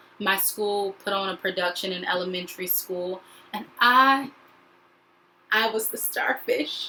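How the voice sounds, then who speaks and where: Through noticeable background noise, a woman with an American accent talks fairly slowly at a medium pitch. Her pitch varies in an ordinary way, and she leaves long, frequent pauses. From US South, North Carolina. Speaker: actor and educator. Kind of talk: video self-introduction.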